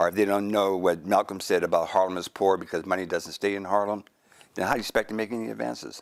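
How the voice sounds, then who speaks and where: A man speaks at a very fast pace in a fairly low pitch with fairly even intonation, on a very clean recording with a silent background. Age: 70s. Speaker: historian, professor emeritus. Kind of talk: interview discussion.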